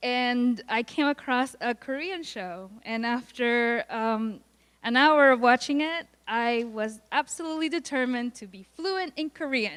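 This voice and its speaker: A woman with a slight Puerto Rican accent speaks at a high pitch, with lively intonation and big swings in loudness. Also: fairly slow pace. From Puerto Rico. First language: Spanish. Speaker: college student. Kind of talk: student presentation. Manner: halting.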